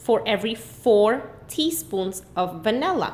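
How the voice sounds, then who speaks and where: A plain, everyday voice speaks with lively intonation. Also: woman. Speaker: math teacher. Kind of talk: tutorial.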